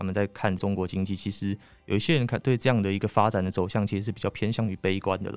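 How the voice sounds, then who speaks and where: A man talks at a very fast pace in a fairly low pitch with fairly even intonation, his voice dry and close with no echo while music plays in the background. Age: 20s. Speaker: magazine journalist. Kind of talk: interview discussion.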